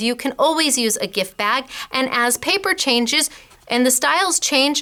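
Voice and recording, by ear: A woman speaks at a fairly slow pace in a high pitch with ordinary pitch variation. Her tone is bright and sharp.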